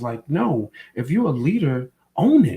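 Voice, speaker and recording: Somewhat breathy and animated, a man speaks at a fairly high pitch with lively intonation. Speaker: podcast co-host. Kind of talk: casual chat.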